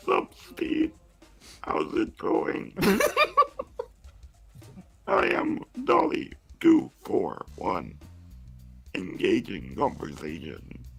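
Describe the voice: Over faint background music, a man puts on a character voice and speaks at a very slow pace with long, frequent pauses.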